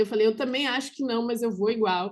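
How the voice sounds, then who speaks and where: An ordinary speaking voice delivers its words with fairly even intonation. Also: woman. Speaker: business consultant. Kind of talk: online workshop presentation.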